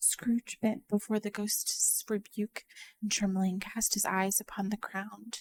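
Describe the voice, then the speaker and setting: Soft-spoken whispering at a fairly slow pace, with a dry, close sound and no echo. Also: woman. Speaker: vtuber ASMR streamer / storyteller. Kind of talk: soft-spoken ASMR audiobook reading, whispered storytelling. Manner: soft-spoken, whispered narration.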